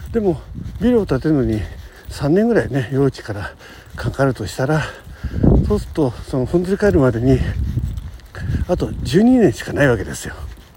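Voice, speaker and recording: At a moderate pace, a man with a fairly high pitch makes very wide pitch swings over noticeable background noise. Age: 60s. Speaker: podcaster. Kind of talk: casual monologue. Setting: outdoors, walking to work. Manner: rambling with fillers and laughs.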